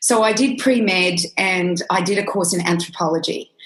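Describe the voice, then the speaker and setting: With an Australian accent, a woman talks with ordinary pitch variation. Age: 50s. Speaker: nutritionist. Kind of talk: interview.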